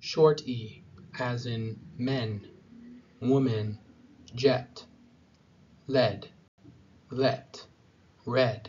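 A man with a medium pitch talks at a very slow pace. His intonation is fairly even, broken by long, frequent pauses. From USA. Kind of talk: pronunciation tutorial. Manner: slow, clear.

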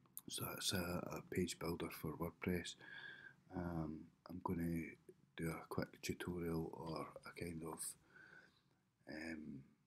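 A whispering man at a very slow pace, with long, frequent pauses. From United Kingdom. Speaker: web designer. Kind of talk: casual vlog talk to camera. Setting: home, early morning. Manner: whispered. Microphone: webcam.

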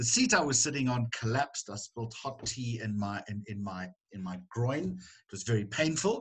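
A man speaks at a moderate pace with a somewhat breathy voice. The background is quiet. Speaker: journalist guest. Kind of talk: interview answer. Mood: warm, humorous. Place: home room. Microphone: video call.

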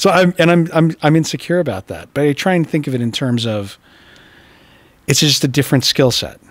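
An ordinary speaking voice from a man with an American accent, fairly high pitch, ordinary pitch variation, a fairly quick pace and a dry sound with no echo. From Utah. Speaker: art dealer and art historian; guest. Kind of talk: casual chat. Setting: art gallery. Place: hall. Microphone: studio mic.

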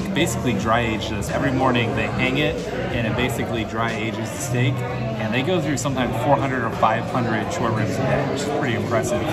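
A man's very fast speech over loud music in the background. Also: hardly any pauses. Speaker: food vlogger. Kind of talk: casual vlog chat. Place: cafe. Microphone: phone near.

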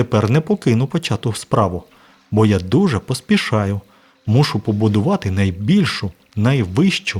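Someone reads aloud in a natural voice.

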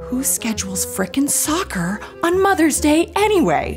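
A woman talks at a fairly slow pace while clear music sounds in the background. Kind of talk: comedic inner monologue. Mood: anxious, exasperated, comic. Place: home room.

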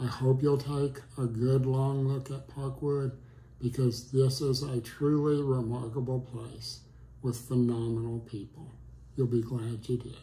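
A man's dark, mellow, somewhat breathy voice, monotone and flat, at a fairly slow pace. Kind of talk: testimonial. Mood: warm, appreciative. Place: home room.

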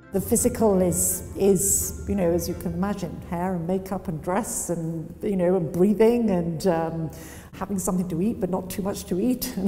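A woman's moderately paced speech plays out over background music. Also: medium pitch for a woman, ordinary pitch variation. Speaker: auctioneer. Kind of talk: interview answer. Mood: calm, thoughtful, poised. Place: empty room.

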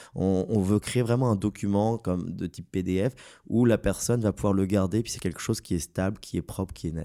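A man with a Parisian accent, a fairly low pitch and fairly even intonation, in a dry, close sound with no echo. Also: fairly quick pace. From France, Paris. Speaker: graphic designer in game business development. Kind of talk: casual podcast discussion.

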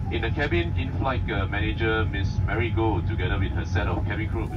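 A man talking at a fairly quick pace over music in the background. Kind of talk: cabin announcement. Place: plane.

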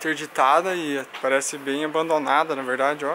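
Over light background noise, a man speaks at a moderate pace. His intonation is flat and monotone. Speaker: travel vlogger. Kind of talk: casual vlog chat. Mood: relaxed, mildly disappointed. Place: street. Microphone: phone near.

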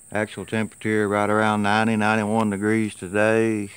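With a Tennessee accent, a man speaks in a relaxed tone at a fairly low pitch and fairly slow pace, in a dry sound with no echo. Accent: US Southern (Tennessee). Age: 50s. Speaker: gardener vlogger. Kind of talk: casual vlog talk to camera. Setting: outdoors. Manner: relaxed, folksy with many fillers. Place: farm machine. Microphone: phone near.

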